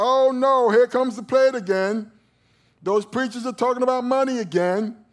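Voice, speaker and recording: In a whiny put-on character voice, a man speaks at an extremely high pitch and a moderate pace. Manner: mocking, whiny, complaining.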